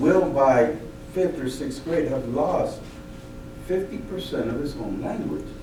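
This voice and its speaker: With noticeable background noise and audible room echo, a man talks at a fairly slow pace and a fairly high pitch. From Mexico. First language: Spanish. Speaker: school board candidate. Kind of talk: public meeting remarks. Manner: halting.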